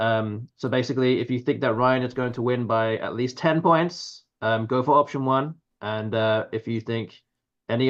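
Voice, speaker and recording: A man talks at a moderate pace and medium pitch. His intonation stays fairly even over a quiet background. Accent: English. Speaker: Scrabble commentator. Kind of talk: live commentary. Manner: halting.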